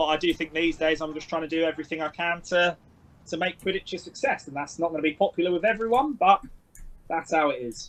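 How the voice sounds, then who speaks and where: A loud, high-pitched man's voice in a London accent, very fast, with ordinary pitch variation. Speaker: sports coach. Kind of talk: interview.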